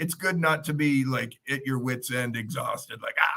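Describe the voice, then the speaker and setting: A man with an American accent speaks in a normal speaking voice at a moderate pace. His pitch varies in an ordinary way. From United States. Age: 60s. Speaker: comedian. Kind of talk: casual chat.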